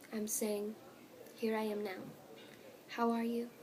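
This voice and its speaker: A woman speaks over noticeable background noise. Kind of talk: ASMR page-flipping, soft spoken reading aloud. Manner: soft, gentle, whispered.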